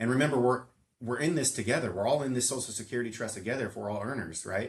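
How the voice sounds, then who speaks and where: A man with an American accent, medium pitch and ordinary pitch variation, talking at a very fast pace. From Southern California. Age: 40s. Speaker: financial planner. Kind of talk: casual chat.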